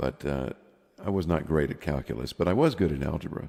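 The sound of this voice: A man talks at a fairly quick pace in an extremely low pitch, with vocal fry, a dark, mellow tone and ordinary pitch variation.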